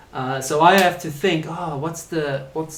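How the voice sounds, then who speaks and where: With audible room echo, a man with a fairly high pitch talks at a moderate pace and with ordinary pitch variation. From South Africa. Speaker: English teacher. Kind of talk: live online lesson.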